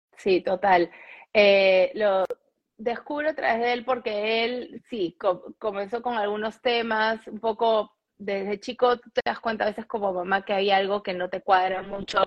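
An unremarkable speaking voice from a woman, medium in pitch, fairly even in intonation, at a fairly slow pace. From Peru. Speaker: fashion and home organization content creator. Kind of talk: interview. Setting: live stream, remote connection.

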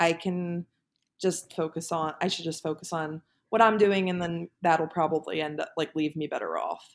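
A woman with an American accent speaks at a moderate pace in a fairly low pitch, with a plain, everyday voice. Her intonation is fairly even, and the recording is very clean with a silent background. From US, Pennsylvania (Philadelphia suburbs). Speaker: engineer and former college athlete. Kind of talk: casual interview.

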